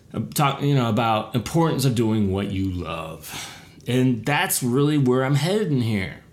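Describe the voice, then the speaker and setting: Audible room echo surrounds a man whose medium-pitched voice has very wide pitch swings. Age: 40s. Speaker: podcast host and social media consultant. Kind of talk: casual solo podcast monologue.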